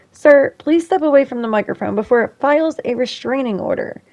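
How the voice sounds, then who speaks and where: The tone is animated. Pitch variation is ordinary. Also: woman. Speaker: gaming YouTuber. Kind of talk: scripted narration over gameplay. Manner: loud; sarcastic, animated.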